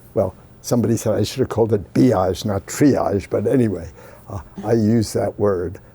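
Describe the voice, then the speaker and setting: A man's fairly low voice, dark and mellow in tone, comes out somewhat breathy. He keeps a moderate pace with ordinary pitch variation. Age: 80s+. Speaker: scientist. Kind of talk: interview. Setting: sitting with interviewer in person. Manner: halting, with fillers.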